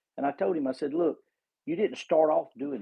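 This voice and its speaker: Here a man uses a normal speaking voice. His pitch is fairly high, with ordinary variation. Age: 60s. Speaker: caller in online discussion. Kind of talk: casual discussion. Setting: Twitter Space audio room.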